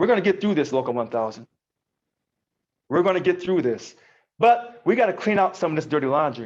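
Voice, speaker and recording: A man with an American accent speaks in a high pitch, his tone passionate and animated. His pace is fairly quick, against a quiet background. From US Midwest. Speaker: union president. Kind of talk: live call-in show address. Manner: passionate, animated.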